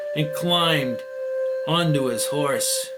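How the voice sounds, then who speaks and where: A man talks very slowly while music runs in the background. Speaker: author reading his own story. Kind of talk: story narration.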